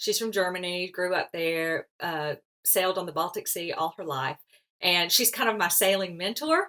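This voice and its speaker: This woman has an unremarkable speaking voice, with an American accent, medium pitch, ordinary pitch variation and a moderate pace. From US South, Alabama. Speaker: sailor and author on seasickness. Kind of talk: podcast interview.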